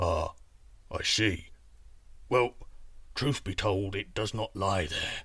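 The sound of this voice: This man puts on a character voice, pitched low with a fairly bright tone. He speaks slowly with ordinary pitch variation.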